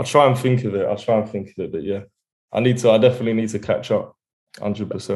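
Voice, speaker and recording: A man with an Essex accent, medium pitch, very fast pace and fairly even intonation, over a quiet background. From England, Essex. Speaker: rapper. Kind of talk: interview. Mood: relaxed, smiling. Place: home room. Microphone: video call.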